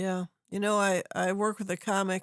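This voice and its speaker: Her medium-pitched voice flat and monotone, a woman speaks at a moderate pace in a dry, close sound with no echo. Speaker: podcast host. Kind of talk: casual podcast conversation.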